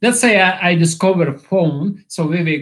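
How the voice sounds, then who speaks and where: This man speaks with a non-native accent at a fairly high pitch. His pace is fairly slow. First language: not English. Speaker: YouTuber. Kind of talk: livestream monologue. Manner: halting.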